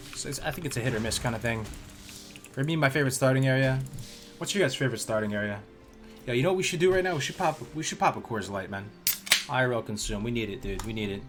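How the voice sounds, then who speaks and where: A medium-pitched man at a very fast pace with lively intonation and long, frequent pauses, plus audible room echo and music in the background. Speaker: video game streamer. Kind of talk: live gameplay stream chat. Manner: casual, hesitant with fillers.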